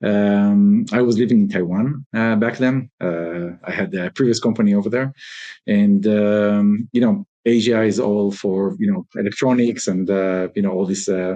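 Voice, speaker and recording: A man speaks with an Israeli accent in a dark, mellow tone. His pitch is fairly low, his pace moderate, and his intonation fairly even. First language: Hebrew. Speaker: robotics company founder. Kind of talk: interview. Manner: many fillers (uh, um, you know).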